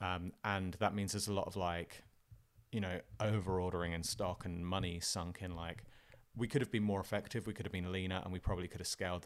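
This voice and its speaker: With an English accent, a man speaks at a fairly quick pace. His pitch is very deep and low, and his intonation stays fairly even. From southern England, Fareham. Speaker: entrepreneur, former punk musician. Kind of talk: interview, casual chat. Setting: in person, studio.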